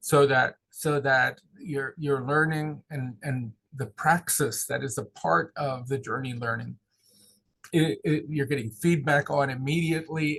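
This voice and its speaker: An American-accented man speaks at a fairly slow pace with fairly high pitch. His intonation stays fairly even. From southeast Pennsylvania. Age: 60s. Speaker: pastoral consultant and seminary teacher. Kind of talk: interview. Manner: halting, many repeated words.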